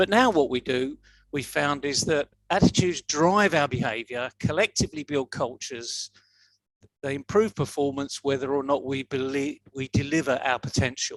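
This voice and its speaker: Heard in a dry, close sound with no echo, a man speaks at a moderate pace in a fairly high pitch with ordinary pitch variation. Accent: Yorkshire. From northern England, Leeds, Yorkshire. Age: 60s. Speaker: motivational speaker. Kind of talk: talk to an online audience. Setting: video call livestream.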